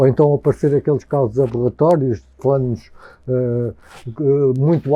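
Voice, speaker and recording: A man speaks in a dark, mellow tone. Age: 50s. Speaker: interviewee. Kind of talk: interview. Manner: halting.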